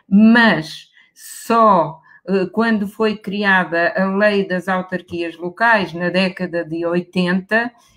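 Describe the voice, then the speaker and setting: Speaking at a very slow pace in a European Portuguese accent, a woman keeps a medium pitch with fairly even intonation. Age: 60s. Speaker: professor. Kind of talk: panel discussion.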